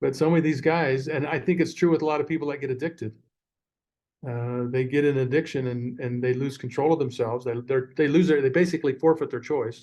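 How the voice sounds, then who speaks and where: A man with a fairly high voice talks at a very fast pace with fairly even intonation. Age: 60s. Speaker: former prison education director and author. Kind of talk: podcast interview. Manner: halting, many repeated words.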